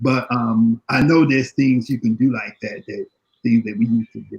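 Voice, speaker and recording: Dry and close with no echo, the recording captures a man with an American accent speaking at a moderate pace in a medium, somewhat breathy voice with fairly even intonation. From Chicago. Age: 60s. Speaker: panelist on health and diet. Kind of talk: panel discussion. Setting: live online video panel. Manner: halting, repetitive.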